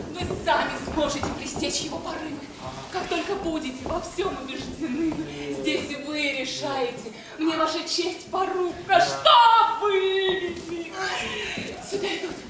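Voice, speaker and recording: Over loud background noise and audible room echo, a woman speaks at a very slow pace with long, frequent pauses and ordinary pitch variation. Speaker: stage actress. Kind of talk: theatrical verse dialogue. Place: stage. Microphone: camera far.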